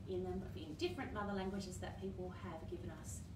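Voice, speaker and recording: A woman is speaking. Loud background noise runs behind her. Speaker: children's session host. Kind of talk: children's storytime chat and singing. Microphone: phone near.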